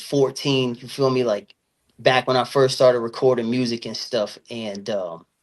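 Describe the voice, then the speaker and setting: A medium-pitched man with an American accent and fairly even intonation. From Virginia and Florida. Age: 30s. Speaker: rapper. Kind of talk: interview.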